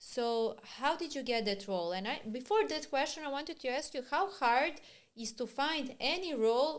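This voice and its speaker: Here a woman with a Serbian accent speaks at a moderate pace and a high pitch. Her pitch swings very widely. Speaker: podcast host. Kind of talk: interview.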